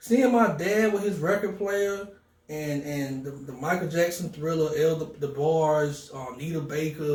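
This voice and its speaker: With an American accent and a fairly high pitch, a man speaks fairly slowly with ordinary pitch variation, amid audible room echo and noticeable background noise. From North Carolina and Philadelphia. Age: 40s. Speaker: DJ and music producer. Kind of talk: interview. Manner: animated.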